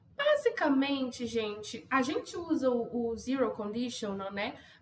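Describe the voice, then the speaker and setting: A woman's high voice with ordinary pitch variation at a very slow pace, over noticeable background noise. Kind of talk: teaching English, relaxed and friendly.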